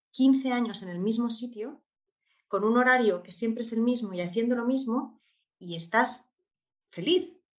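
Speaking at a moderate pace, a woman uses a plain, everyday voice, fairly high in pitch with ordinary pitch variation. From Spain. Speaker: expat mother and traveller. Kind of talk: interview.

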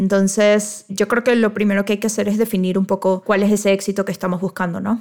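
A woman speaks very fast in a medium-pitched voice with hardly any pauses. Her intonation is monotone and flat. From Venezuela. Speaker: wedding photographer and podcast co-host. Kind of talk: casual chat.

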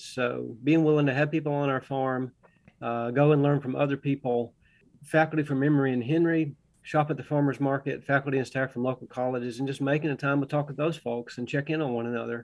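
In a Southern accent, a man speaks at a fairly high pitch with monotone, flat intonation. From US South, Augusta, Georgia. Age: 60s. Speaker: organic farmer and biology professor. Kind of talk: radio interview.

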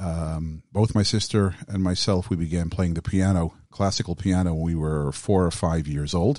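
Against a quiet background, a man with an American accent and a very deep, low pitch talks at a moderate pace with hardly any pauses and fairly even intonation. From US Midwest (Southfield, Michigan). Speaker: cantor. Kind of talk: interview.

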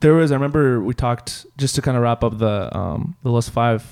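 A man at a medium pitch with an ordinary speaking voice, talking at a fairly quick pace. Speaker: podcast host. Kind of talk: casual interview chat.

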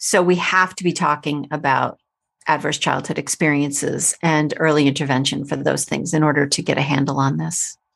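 Over a very clean recording with a silent background, a woman's very deep, low voice carries vocal fry and a monotone, flat intonation. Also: moderate pace. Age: 50s. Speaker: teacher and parenting author. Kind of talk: casual interview.

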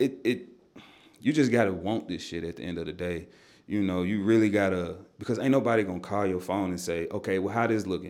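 Fairly quick in pace, the man talks at a fairly low pitch. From Nashville, Tennessee (east side). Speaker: music artist. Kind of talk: casual interview chat.

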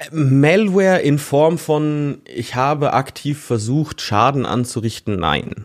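A man's fairly high voice, very slow yet with hardly any pauses and lively intonation. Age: 20s. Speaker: IT security analyst. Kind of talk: interview. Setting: virtual studio. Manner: hesitant with frequent fillers.

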